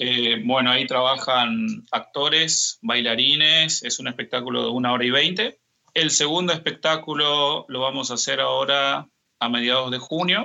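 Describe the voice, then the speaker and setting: A man speaks at a medium pitch with ordinary pitch variation. Vocal fry runs through his voice. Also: moderate pace. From Argentina, Misiones province. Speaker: tango dancer and dance teacher. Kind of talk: interview.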